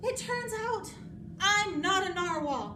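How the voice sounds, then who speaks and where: A squeaky, put-on character voice at an extremely high pitch and fairly slow pace, with clear background noise. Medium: read story. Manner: earnest, wide-eyed.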